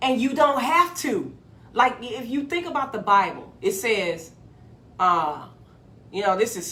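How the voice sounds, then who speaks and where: Her bright, sharp tone animated, a woman speaks at a fairly slow pace with a fairly high pitch, vocal fry and very wide pitch swings, and room echo is audible. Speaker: motivational video host. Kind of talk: motivational monologue.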